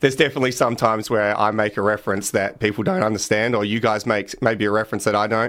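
A man talks very fast in an Australian accent, with hardly any pauses. His pitch is fairly low, and the recording is very clean with a silent background. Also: fairly even intonation. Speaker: punter and podcast host. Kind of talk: casual interview. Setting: radio studio.

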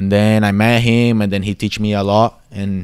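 A man with a Brazilian accent speaks in a monotone, flat intonation. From Brazil, São Paulo. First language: Portuguese. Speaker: circus performer and dancer. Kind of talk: interview. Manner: halting.

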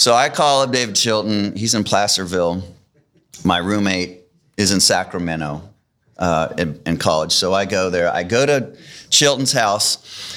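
A man with an unremarkable speaking voice, fairly low pitch, lively intonation and a moderate pace. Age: 50s. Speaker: author and bible teacher. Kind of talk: testimony. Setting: church auditorium with others present.

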